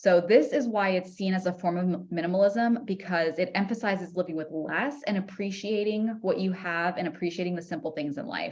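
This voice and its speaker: A woman with an American accent, somewhat breathy, at a medium pitch and a fairly quick pace, with ordinary pitch variation and hardly any pauses. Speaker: podcast host. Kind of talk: casual educational monologue.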